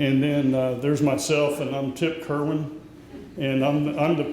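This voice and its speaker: A man speaks at a moderate pace in a fairly high voice with monotone, flat intonation. Noticeable background noise and audible room echo come through. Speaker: association president. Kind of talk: event welcome speech. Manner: loud.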